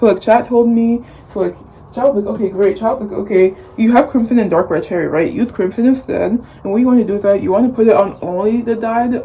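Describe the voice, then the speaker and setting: A woman at a fairly high pitch with ordinary pitch variation, talking at a very fast pace over noticeable background noise. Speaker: beauty vlogger. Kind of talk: casual vlog talk.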